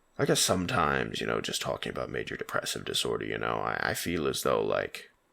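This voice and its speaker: Soft-spoken, a man talks at a very fast pace. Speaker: vlogger. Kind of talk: personal vlog confession. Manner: halting.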